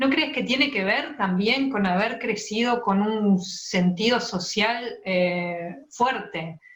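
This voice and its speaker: At a very slow pace, a woman of medium pitch speaks with ordinary pitch variation. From Montevideo, Uruguay. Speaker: interviewer, writer. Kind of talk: interview question.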